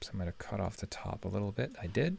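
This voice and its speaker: A man talks with vocal fry. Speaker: web design tutorial creator. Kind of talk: screen-recorded tutorial. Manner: fast.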